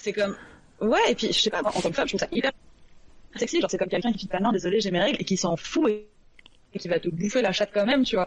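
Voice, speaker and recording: Lively in intonation, a woman at medium pitch talks at a very fast pace broken by long, frequent pauses. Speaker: novelist. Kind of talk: casual debate chat. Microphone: low volume, poor sound at start.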